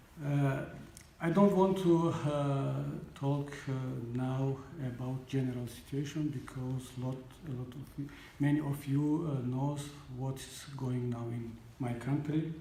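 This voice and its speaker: A man with a non-native accent and fairly high pitch speaks at a fairly slow pace with fairly even intonation and long, frequent pauses, amid audible room echo and noticeable background noise. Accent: non-native English speaker. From Tajikistan. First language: Tajik. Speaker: opposition politician. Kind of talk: panel speech. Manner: halting.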